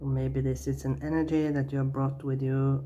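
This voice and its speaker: Audible room echo fills the recording. The voice is a woman's. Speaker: tarot reader. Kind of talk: tarot reading. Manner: halting, many fillers.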